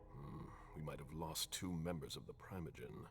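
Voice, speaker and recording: Against clear background noise, a man does a put-on character voice with a very deep, low pitch. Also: moderate pace. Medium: video game. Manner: terse, formal.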